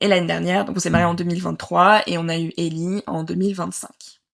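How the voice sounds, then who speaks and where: This woman talks at a moderate pace with a fairly low pitch and fairly even intonation. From southern France, Nice. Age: 30s. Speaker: mother sharing birth story. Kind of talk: interview testimony. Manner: hesitant, many filler sounds.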